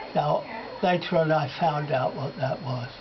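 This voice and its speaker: A man at a fairly high pitch, speaking at a very slow pace amid noticeable background noise. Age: 80s+. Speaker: spiritualist medium. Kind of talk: interview answer. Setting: hospice bedside.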